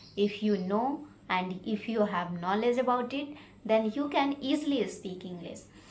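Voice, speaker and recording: A woman with an Indian accent speaks at a fairly high pitch with lively intonation. Audible room echo surrounds her voice. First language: Hindi. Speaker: English learning vlogger. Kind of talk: informal tutorial. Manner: halting, with many fillers.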